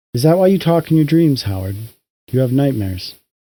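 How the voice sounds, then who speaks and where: Talking at a fairly quick pace, a man uses a put-on character voice at a medium pitch. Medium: read story. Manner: calm, unruffled.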